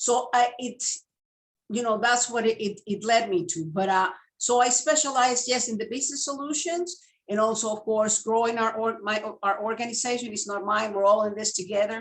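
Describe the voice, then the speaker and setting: A woman with a Spanish accent talks at a fairly high pitch and a moderate pace, with ordinary pitch variation. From Venezuela. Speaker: legal services sales representative. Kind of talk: interview.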